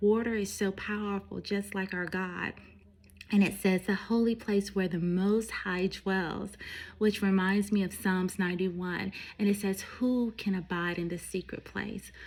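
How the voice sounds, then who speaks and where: Somewhat breathy and flat in intonation, a woman speaks at a fairly slow pace and medium pitch. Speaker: faith vlogger. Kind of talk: devotional talk.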